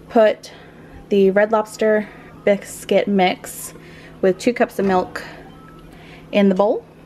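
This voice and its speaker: A woman speaks at a medium pitch in a monotone, flat intonation. Noticeable background noise sits behind her. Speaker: vlogger. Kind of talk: casual vlog talk. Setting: at home, kitchen.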